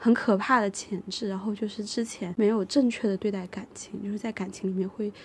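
With a plain, everyday voice, a woman speaks fairly quickly at a medium pitch and with fairly even intonation. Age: 30s. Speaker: podcast co-host. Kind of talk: casual chat.

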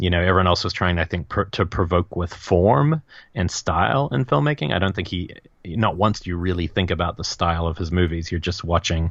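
In a New Zealand accent, a man with a very deep, low pitch speaks at a fairly quick pace with ordinary pitch variation over a quiet background. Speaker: film podcast co-host. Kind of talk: casual chat.

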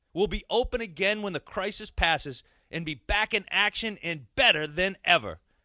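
In a quiet background with a dry, close sound and no echo, a man speaks at a high pitch in a raised, projected voice. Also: ordinary pitch variation, moderate pace. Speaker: announcer. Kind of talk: commercial voiceover.

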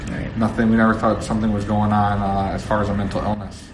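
Over noticeable background noise and audible room echo, a man with a fairly low pitch speaks at a very fast pace. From New Jersey. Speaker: retired football player. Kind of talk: interview. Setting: side room before a speech.

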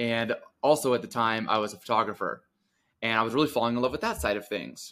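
Speaking at a fairly quick pace, a man with an American accent uses an ordinary speaking voice at a medium pitch. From Connecticut, US. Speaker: business coach for fitness coaches. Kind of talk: podcast interview. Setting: remote call.

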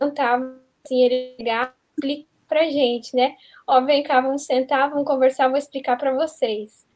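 Over music in the background, a woman speaks in a high pitch with fairly even intonation. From southern Brazil. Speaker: youth Bible study guest. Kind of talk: Bible study discussion.

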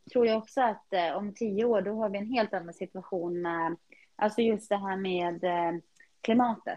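In a normal speaking voice, a woman talks with fairly even intonation, keeping to a medium pitch and a moderate pace. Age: 30s. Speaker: podcast co-host, HR worker and pilates studio owner. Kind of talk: casual chat.

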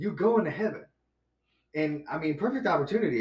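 Somewhat breathy and animated in tone, a man with an American accent talks at a fairly quick pace with ordinary pitch variation. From Chicago. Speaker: podcast guest. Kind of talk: testimony; casual chat. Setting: studio.

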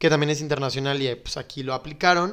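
Someone with a Mexican accent is heard on a very clean recording with a silent background. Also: man. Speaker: podcast co-host. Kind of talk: casual chat.

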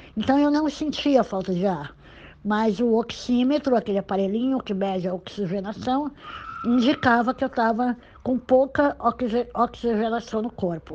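Using an ordinary speaking voice, a woman speaks at a moderate pace with a fairly high pitch and ordinary pitch variation. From Brazil, Santos (São Paulo coast). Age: 60s. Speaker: retired journalist. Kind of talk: interview testimony. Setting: phone call.

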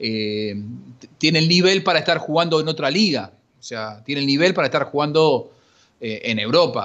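This man's pitch sits fairly high and swings very widely. He talks at a moderate pace against a quiet background. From Argentina, Buenos Aires western suburbs. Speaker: sports journalist. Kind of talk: casual chat.

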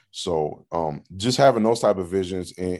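Over a quiet background, the speaker talks at a moderate pace with an American accent. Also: man. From US Upper Midwest, north Minneapolis. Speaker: high school football coach. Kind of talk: interview. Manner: halting, many fillers and repeats.

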